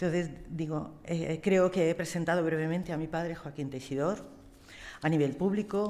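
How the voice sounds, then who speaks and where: A woman speaks in a very deep, low pitch. Her tone is dark and mellow. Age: 60s. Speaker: astrologer. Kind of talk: tribute speech; reading aloud. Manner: halting.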